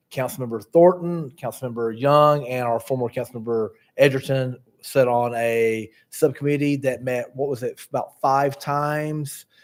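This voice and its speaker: This man has an unremarkable speaking voice at medium pitch. He talks at a moderate pace. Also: fairly even intonation. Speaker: town planner presenting staff report. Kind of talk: staff presentation at council meeting. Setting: town council meeting.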